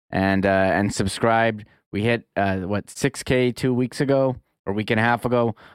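A man's medium-pitched voice, a normal speaking voice, at a moderate pace with very even loudness and fairly even intonation, dry and close with no echo. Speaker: sports podcast co-host. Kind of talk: casual sports talk show. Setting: video call from his home.

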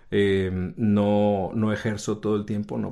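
Against a quiet background, a man talks in a fairly low, dark and mellow voice with monotone, flat intonation. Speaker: yoga teacher and voice actor. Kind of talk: interview. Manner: halting, many fillers.

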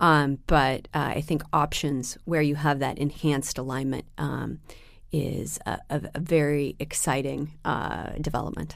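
A woman with an American accent speaks at a very deep, low pitch with vocal fry. Her delivery is a flat monotone at a fairly slow pace. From US Pacific Northwest, Seattle. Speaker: private equity fundraising executive. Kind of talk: interview. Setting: studio in London. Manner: hesitant with many fillers.

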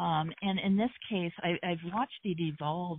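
A woman with an American accent uses an ordinary speaking voice, fairly low in pitch, with ordinary pitch variation at a moderate pace. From US Midwest, Hamilton, Ohio near Cincinnati. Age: 50s. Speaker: journalist. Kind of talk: interview.

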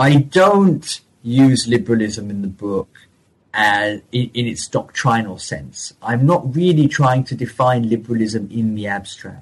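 A man's medium-pitched, somewhat breathy voice at a fairly slow pace, with lively intonation. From partly French, raised bilingual. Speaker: historian. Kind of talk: interview about his book. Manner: hesitant with frequent repetitions.

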